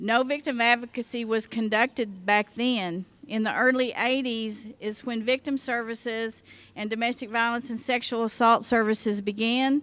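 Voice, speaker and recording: Her pitch sits fairly high, and her pace is moderate. The woman's intonation stays fairly even. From Oklahoma. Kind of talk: conference keynote speech. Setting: conference luncheon with audience.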